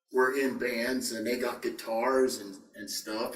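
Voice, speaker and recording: Noticeable background noise and audible room echo surround a man with an American accent. He talks at a fairly slow pace with ordinary pitch variation. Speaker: rock singer. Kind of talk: interview. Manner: hesitant, many fillers.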